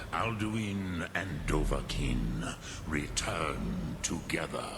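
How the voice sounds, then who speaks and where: Loud background noise surrounds a man doing a put-on character voice, very deep and low in pitch, at a very slow pace. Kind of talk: epic fantasy game voice acting. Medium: video game. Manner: slow, solemn, ponderous, mixing dragon-tongue words.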